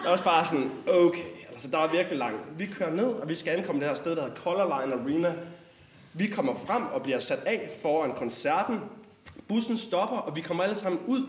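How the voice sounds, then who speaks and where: With audible room echo and noticeable background noise, a man speaks at a high pitch with lively intonation. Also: moderate pace. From West Jutland, Denmark (Struer). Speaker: storyteller. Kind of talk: personal storytelling.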